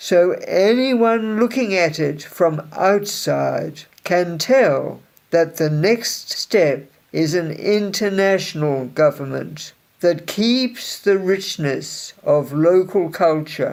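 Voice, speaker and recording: At a very slow pace, someone performs a put-on character voice at a middle pitch. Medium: read story. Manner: warm, gentle.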